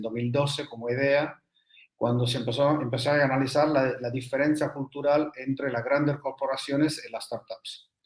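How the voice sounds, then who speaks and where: A man with an Argentine accent speaks at a moderate pace and a medium pitch, with fairly even intonation. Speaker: energy business consultant. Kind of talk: interview. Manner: halting.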